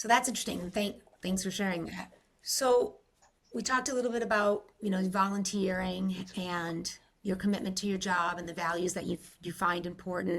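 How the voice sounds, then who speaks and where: The speaker has an American accent and a normal speaking voice. Intonation is fairly even, at a moderate pace. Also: woman, medium pitch for a woman. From Rhode Island, US. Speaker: podcast host. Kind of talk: interview conversation.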